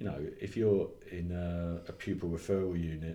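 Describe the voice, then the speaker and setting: A very deep, low-pitched man with an English accent and fairly even intonation, amid noticeable background noise and audible room echo. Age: 50s. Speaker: education consultant and trainer. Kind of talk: interview.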